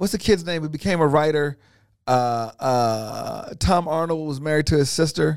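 The speaker has an American accent and a plain, everyday voice, with ordinary pitch variation at a moderate pace. The recording is very clean, with a silent background. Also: man, fairly high pitch for a man. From US West (California, Inglewood area). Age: 50s. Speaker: comedian and former talk show host. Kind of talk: casual chat.

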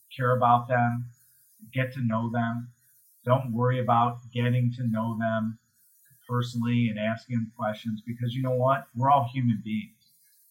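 A man talks in a monotone with flat intonation. His voice is somewhat breathy. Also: long, frequent pauses. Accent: American. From US Midwest, Chicago area (Highland Park, Illinois). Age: 50s. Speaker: commercial real estate investor and CEO. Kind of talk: interview conversation.

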